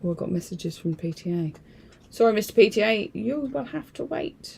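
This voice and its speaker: At a moderate pace, a woman speaks with a medium pitch, ordinary pitch variation and a dark, mellow tone. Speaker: craft video host. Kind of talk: live craft demo stream. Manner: chatty, rambling with fillers; whispering.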